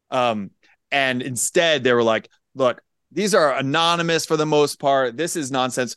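An unremarkable speaking voice, this man with an American accent talks at a fairly high pitch and moderate pace with ordinary pitch variation, in a dry, close sound with no echo. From Pennsylvania. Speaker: high school civics teacher and podcaster. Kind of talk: casual chat.

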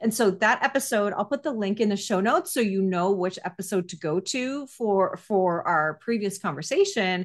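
A woman speaks with a plain, everyday voice at a medium pitch. Her pace is moderate, and she uses hardly any pauses. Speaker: podcast host. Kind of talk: casual interview chat.

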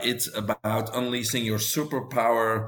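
Flat, monotone intonation in a Belgian accent over noticeable background noise. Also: man. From Belgium. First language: Dutch. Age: 50s. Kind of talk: interview.

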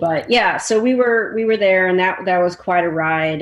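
Speaking at a moderate pace, a woman with an unremarkable speaking voice has a fairly low pitch and lively intonation. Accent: American. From US Midwest, Chicago. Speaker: film editor. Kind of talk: casual interview.

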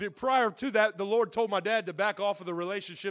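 Speaking at a fairly quick pace with a Southern US accent, this voice has ordinary pitch variation on a very clean recording with a silent background. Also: man. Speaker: pastor. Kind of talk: sermon. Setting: church. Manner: loud.

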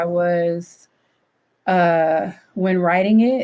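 Here a woman with an American accent has an unremarkable speaking voice, medium pitch and fairly even intonation. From Detroit, Michigan (West Side). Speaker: university women's center director. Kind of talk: casual interview conversation.

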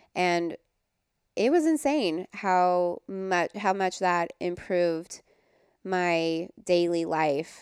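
At a very slow pace, a fairly low-pitched woman speaks with very even loudness in a dry, close sound with no echo. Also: ordinary pitch variation. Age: 30s. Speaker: wellness guest, mother. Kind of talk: casual interview chat. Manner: soft-spoken.

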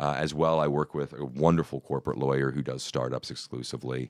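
A man speaks at a fairly quick pace in a very deep, low voice with vocal fry and fairly even intonation, the sound dry and close with no echo. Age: 30s. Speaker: inventor of a drum accessory. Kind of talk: casual interview. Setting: studio. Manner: hesitant, many fillers.

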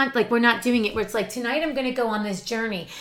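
Music plays in the background as a woman speaks. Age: 50s. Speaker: podcast co-host. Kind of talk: casual chat.

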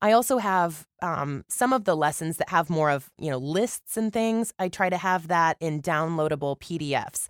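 With an American accent and an ordinary speaking voice, a woman at a fairly low pitch talks at a moderate pace with lively intonation, in a very clean, dry, close recording with no echo and a silent background. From Missouri. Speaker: voice actor and marketing teacher. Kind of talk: interview.

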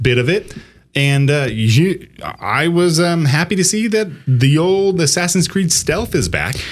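A man's fairly high voice with lively intonation, very even loudness and a fairly slow pace, music in the background. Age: 30s. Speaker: video game podcast co-host. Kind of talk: casual chat.

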